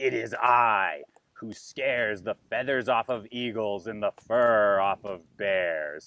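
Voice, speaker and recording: A man puts on a booming character voice. He speaks at a fairly slow pace with medium pitch. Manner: boastful, intimidating.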